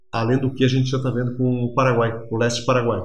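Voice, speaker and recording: Speaking very fast in a somewhat breathy voice at a medium pitch, a man keeps a monotone, flat intonation, with audible room echo around him. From Rio Grande do Sul, Brazil (Erechim). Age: 50s. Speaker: regional development analyst. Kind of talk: interview. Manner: halting, with many fillers.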